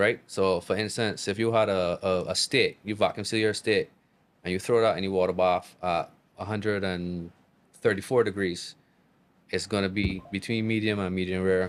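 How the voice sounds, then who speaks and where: In a very clean recording with a silent background, a man with a Barbadian accent speaks at a moderate pace in a fairly low pitch with monotone, flat intonation. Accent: Barbadian accent, kept natural. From Barbados. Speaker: chef. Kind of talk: casual chat. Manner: casual, repetitive.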